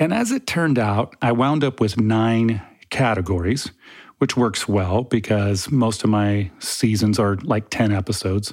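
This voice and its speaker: A man's fairly low-pitched, normal speaking voice at a fairly slow pace, with ordinary pitch variation, very even loudness, and a very clean recording against a silent background. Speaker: podcast host and theology researcher. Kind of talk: casual monologue. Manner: chatty, humorous.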